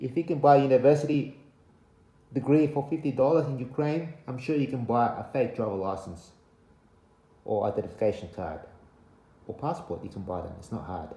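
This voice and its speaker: The loudness swings widely, with vocal fry in a dark, mellow tone at a moderate pace. Long pauses come often, and room echo is audible. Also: man. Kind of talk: casual vlog chat. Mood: warning, earnest. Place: home room. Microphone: phone near.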